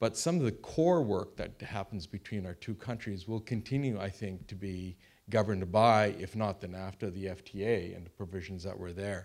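A man's fairly low voice at a moderate pace, hardly any pauses, ordinary pitch variation, in a very clean recording with a silent background. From Canada. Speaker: former diplomat, panelist. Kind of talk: panel discussion. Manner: halting, many fillers and repeats.

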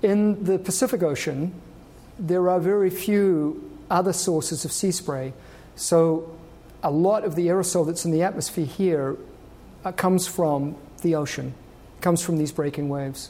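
A man's high-pitched, dark, mellow voice at a moderate pace, with ordinary pitch variation, long, frequent pauses and audible room echo. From New Zealand. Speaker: research oceanographer. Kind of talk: public lecture. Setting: stage with audience.

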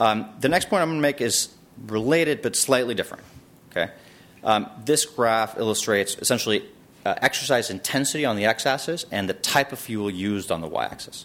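A man speaks with lively intonation at a fairly quick pace. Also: medium pitch for a man. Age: 30s. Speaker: emergency physician giving a talk. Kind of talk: lecture. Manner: halting, many fillers.

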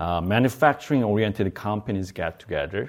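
On a very clean recording with a silent background, a man with a Korean accent speaks at a fairly low pitch. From South Korea. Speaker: bioengineering professor and company co-founder. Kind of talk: lecture. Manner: halting.

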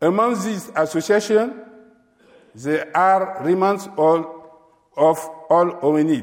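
At a very slow pace, a man with a high pitch speaks with ordinary pitch variation. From Chad. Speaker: paleontologist. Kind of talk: lecture. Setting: stage with audience. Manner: halting.

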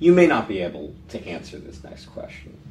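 A man with an American accent swings very widely in pitch amid audible room echo. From San Francisco, California. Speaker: interview host, law professor. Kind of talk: interview. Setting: office.

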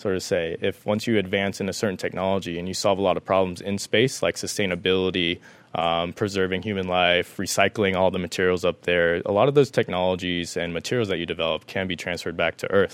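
A man with a very deep, low pitch. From Las Vegas, Nevada, US. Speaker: aerospace startup founder. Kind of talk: career talk.

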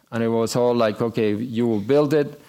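In an Argentine accent, a man speaks fairly quickly at a medium pitch with ordinary pitch variation, on a very clean recording with a silent background. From Argentina. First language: Spanish. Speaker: business executive. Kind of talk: talk to an audience. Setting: stage with audience.

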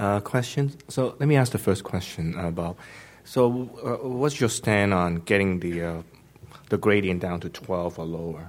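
A man's unremarkable speaking voice, fairly low in pitch, with lively intonation at a fairly slow pace. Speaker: conference moderator. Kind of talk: formal introduction.

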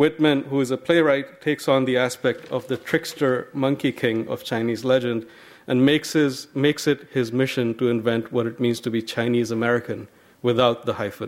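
An unremarkable speaking voice, fairly even in intonation, at a moderate pace. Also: man, medium pitch for a man. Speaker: university host introducing speaker. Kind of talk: formal introduction. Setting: campus library event.

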